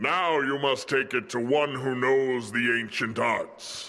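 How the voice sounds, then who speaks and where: Slipping into a put-on character voice, a man talks at a fairly slow pace. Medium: video game. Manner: solemn, formal.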